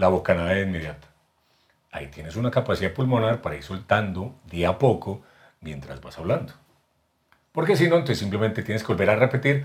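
Fairly low, somewhat breathy male voice with very wide pitch swings, big swings in loudness, and long, frequent pauses. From Colombia, Medellín. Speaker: voice actor and announcer. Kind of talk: casual interview.

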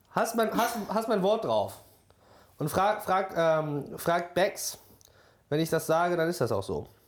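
A man's high-pitched voice with lively intonation, delivered at a very slow pace with long, frequent pauses. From Borkum, northern Germany. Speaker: podcast co-host. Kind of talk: casual chat.

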